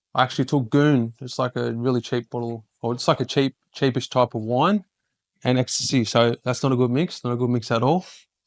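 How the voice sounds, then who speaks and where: The speaker has an Australian accent and fairly even intonation at a fairly quick pace. The sound is dry and close with no echo, over a quiet background. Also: man, medium pitch for a man. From Queensland, Australia. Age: 30s. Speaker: podcast host and ex-prisoner speaker. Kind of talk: public talk. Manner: halting.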